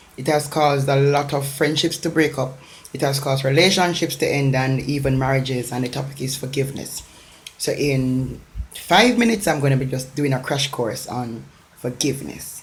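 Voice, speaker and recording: A woman with a Jamaican accent speaks at a moderate pace in a very deep, low voice with ordinary pitch variation. Audible room echo and noticeable background noise surround her. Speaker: motivational speaker. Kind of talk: motivational talk. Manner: emphatic, repetitive.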